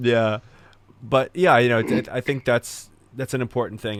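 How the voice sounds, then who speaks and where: A man with an unremarkable speaking voice talks at a fairly quick pace and medium pitch with ordinary pitch variation, in a very clean recording with a silent background. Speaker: podcast host. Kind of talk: podcast interview host.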